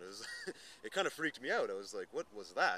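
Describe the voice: A man's bright, sharp tone at a fast pace.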